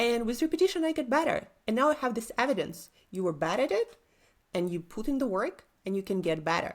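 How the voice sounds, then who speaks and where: A woman with a Russian accent speaks at a fairly high pitch, her voice swinging very widely in pitch over a very clean recording with a silent background. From Siberia, Russia. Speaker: entrepreneur coach. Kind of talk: interview.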